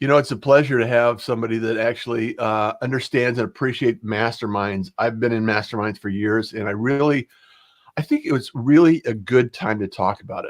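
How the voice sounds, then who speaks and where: A man's medium-pitched voice, a normal speaking voice at a fairly quick pace with ordinary pitch variation, on a very clean recording with a silent background. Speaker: podcast host. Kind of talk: livestream podcast interview hosting.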